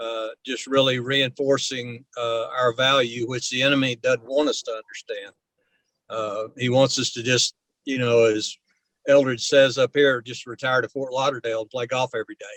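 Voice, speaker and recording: A man's medium-pitched voice at a moderate pace, flat and monotone, with big swings in loudness and a dry, close sound with no echo. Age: 70s. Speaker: ministry elder mentor. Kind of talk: casual chat. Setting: video call. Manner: halting.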